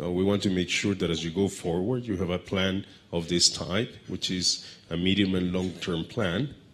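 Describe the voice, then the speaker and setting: At a moderate pace, a man speaks in a very deep, low pitch with fairly even intonation. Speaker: panel moderator, head of a trade research center; panel moderator. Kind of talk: panel discussion moderation. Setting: stage with audience. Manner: halting, many fillers. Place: hall. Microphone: handheld.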